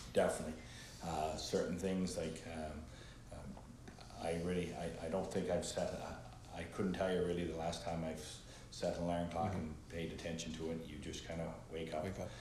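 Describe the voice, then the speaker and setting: His voice very deep and low, a man speaks at a moderate pace with fairly even intonation and audible room echo. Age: 50s. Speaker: entrepreneur and former school principal. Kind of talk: casual interview. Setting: studio.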